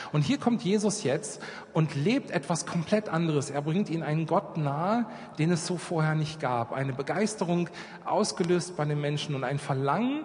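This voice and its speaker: With noticeable background noise behind him, a man speaks at a moderate pace and a fairly high pitch, with ordinary pitch variation. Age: 40s. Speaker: children's charity worker. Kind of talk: church talk with flipchart.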